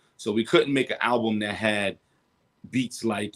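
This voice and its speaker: Fairly even intonation from a man at a moderate pace, his pitch fairly low. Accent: New York. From Brooklyn, New York. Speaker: rapper. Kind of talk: interview.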